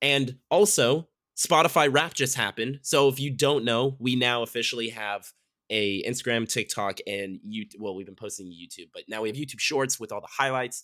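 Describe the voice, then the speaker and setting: A man talks at a moderate pace in a medium-pitched voice with a bright, sharp tone and ordinary pitch variation. His loudness swings widely, and the recording is very clean with a silent background. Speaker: podcast co-host. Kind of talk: casual chat. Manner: casual, filler-heavy.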